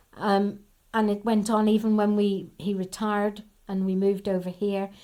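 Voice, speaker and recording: A woman with a Northern Irish accent speaks at a medium pitch with a dark, mellow tone. Her intonation is monotone and flat, and her pace is moderate. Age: 70s. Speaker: army wife and daughter, oral history interviewee. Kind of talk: oral history interview. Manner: conversational, anecdotal.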